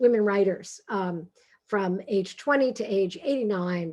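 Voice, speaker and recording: This woman has a fairly high pitch and a Brooklyn accent. Her pitch varies in an ordinary way. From New York, Brooklyn. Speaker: author and humor speaker. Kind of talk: talk. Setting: video call. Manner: animated.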